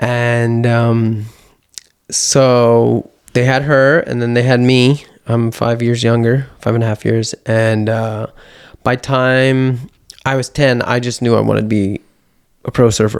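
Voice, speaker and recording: A man with an American accent at medium pitch, very slow and monotone in flat intonation. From Los Angeles, California (Venice). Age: 40s. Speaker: surfer and yoga teacher. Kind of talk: casual interview chat.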